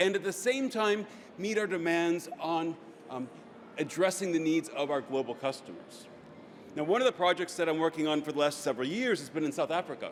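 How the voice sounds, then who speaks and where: This man speaks with an American accent. His pitch is high for a man. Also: ordinary pitch variation, fairly quick pace. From United States. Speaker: business strategy consultant. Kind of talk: conference talk.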